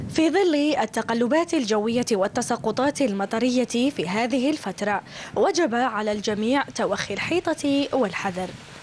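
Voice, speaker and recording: Speaking at a very slow pace, a woman has a high pitch, lively intonation and very even loudness. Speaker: news reporter. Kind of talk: news report narration.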